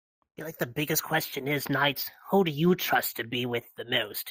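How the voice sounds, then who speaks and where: In a put-on character voice, the speaker talks at a low-to-middle pitch. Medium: machinima. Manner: measured, careful.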